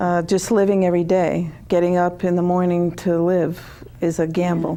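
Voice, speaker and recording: Flat, monotone delivery from a woman, fairly low in pitch, at a moderate pace with very even loudness. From Connecticut, US. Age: 60s. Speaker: author. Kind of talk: interview.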